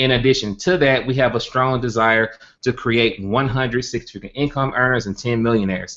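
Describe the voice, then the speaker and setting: A man talks at a very fast pace with a Southern US accent. His intonation stays fairly even. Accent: country Southern. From US South, Birmingham, Alabama. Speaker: network marketing entrepreneur, organization founder. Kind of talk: webinar presentation. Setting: live online stream with screen share.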